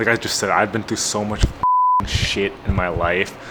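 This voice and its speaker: A moderate pace with noticeable background noise. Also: man. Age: 20s. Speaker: car YouTuber. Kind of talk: casual vlog monologue. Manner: halting, many fillers.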